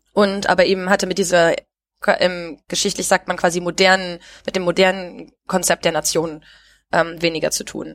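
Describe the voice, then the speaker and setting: This woman speaks at a moderate pace in a fairly low pitch. Her intonation is monotone and flat. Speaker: podcast host. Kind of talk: casual chat. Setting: recorded remotely, separate locations. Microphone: new headset recording set.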